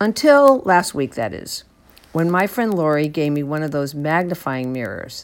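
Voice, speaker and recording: Over a very clean recording with a silent background, a woman speaks at a moderate pace with a fairly low pitch. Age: 80s+. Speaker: columnist and writer. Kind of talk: reading aloud.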